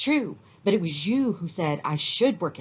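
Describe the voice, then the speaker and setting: The voice sounds female and sits at a middle pitch. It is a put-on character voice. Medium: read story. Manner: fast.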